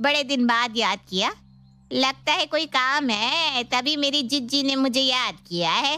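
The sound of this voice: A put-on character voice with a bright, sharp tone moves at a fairly slow pace with lively intonation. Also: woman, high pitch for a woman.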